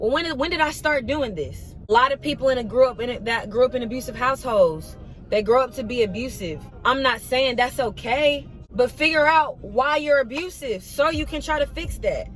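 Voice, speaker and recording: Over noticeable background noise, a woman speaks fairly quickly in a high pitch, her tone animated and her intonation lively. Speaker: vlogger. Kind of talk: motivational talk to camera. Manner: fast.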